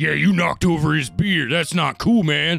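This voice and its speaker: A man's put-on character voice, pitched fairly high. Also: moderate pace. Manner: yappy, indignant, tough.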